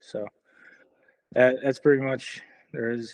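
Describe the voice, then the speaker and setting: A man with a Chicago accent speaks at a fairly slow pace. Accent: Chicago American. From US Midwest, Chicago. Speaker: dog trainer, Marine veteran. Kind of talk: casual interview, life story.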